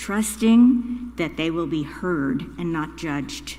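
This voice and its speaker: A woman speaks with a somewhat breathy voice. Room echo is audible. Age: 80s+. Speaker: congregant lay speaker. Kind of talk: prepared reflection at a church service. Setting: church.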